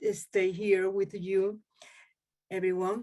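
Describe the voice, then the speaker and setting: Speaking very slowly with a Spanish accent, a woman keeps a medium pitch and monotone, flat intonation. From Andalusia, Spain (Malaga). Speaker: poet. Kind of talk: poetry reading intro. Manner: halting.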